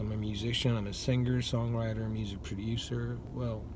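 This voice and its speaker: Audible room echo surrounds a man who speaks at a moderate pace in a medium pitch. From South Asia, Bengali-speaking. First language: Bengali. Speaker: musician and channel owner. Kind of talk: casual monologue vlog. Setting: at work on a break. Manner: halting, many fillers.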